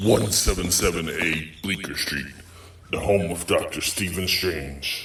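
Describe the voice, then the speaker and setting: A man speaks at a moderate pace in a put-on character voice, with clear background noise. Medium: audio drama. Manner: dry, sarcastic.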